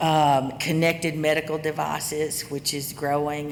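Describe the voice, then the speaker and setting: In a Southern US accent, a woman with a very deep, low pitch speaks at a moderate pace in a monotone, flat intonation, with noticeable background noise and audible room echo. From US South. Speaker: cybersecurity executive. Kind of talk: conference talk.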